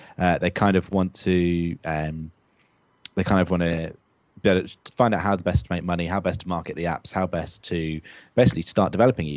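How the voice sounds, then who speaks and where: On a very clean recording with a silent background, a man with a British accent speaks fairly quickly with a very deep, low pitch and fairly even intonation. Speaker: tech podcast co-host. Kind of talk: casual podcast chat. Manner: many fillers (um, uh).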